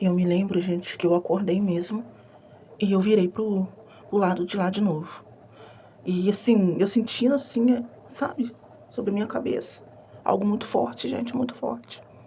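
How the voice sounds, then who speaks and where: A soft-spoken woman talks at a moderate pace with a medium pitch and lively intonation. She leaves long, frequent pauses. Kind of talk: testimony.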